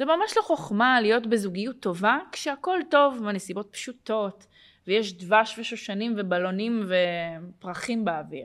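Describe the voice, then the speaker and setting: A woman with a normal speaking voice, fairly high in pitch, at a fairly slow pace and with lively intonation, on a very clean recording with a silent background. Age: 30s. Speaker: podcast host and life coach. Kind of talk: casual interview.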